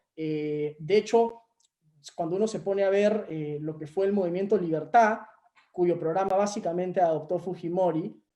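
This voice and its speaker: Here a man speaks at a moderate pace. His voice sits high in pitch. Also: ordinary pitch variation. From Peru. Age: 20s. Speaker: young panelist. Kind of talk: webinar panel talk. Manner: hesitant, many filler sounds.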